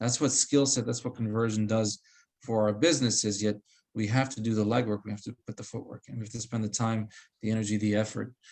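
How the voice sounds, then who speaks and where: At a very fast pace, a man speaks at a medium pitch with fairly even intonation. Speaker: real estate trainer. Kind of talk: coaching session.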